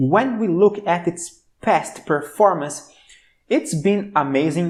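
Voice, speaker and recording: The speaker talks at a fairly slow pace with a Brazilian accent. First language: Portuguese. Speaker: stock market commentator. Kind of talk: stock analysis video. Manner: enthusiastic.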